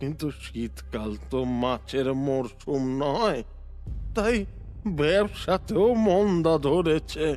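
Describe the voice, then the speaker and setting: Over clear background music, a put-on character voice moves at a very slow pace with a low-to-middle pitch. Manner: weeping, stammering.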